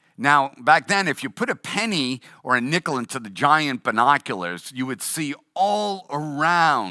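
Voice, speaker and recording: A man's fairly high voice with a Boston accent, bright, sharp tone, big swings in loudness, and a fairly slow pace, in a very clean recording with a silent background and a dry, close sound with no echo. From Boston, US Northeast. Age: 60s. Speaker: pastor. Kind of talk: sermon.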